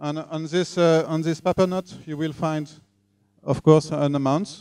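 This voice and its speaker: Over a quiet background, a man with a French accent speaks fairly slowly in a fairly high pitch with fairly even intonation. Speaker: tech talk speaker. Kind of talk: lecture. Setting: live talk with audience. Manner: halting. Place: meeting room. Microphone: handheld.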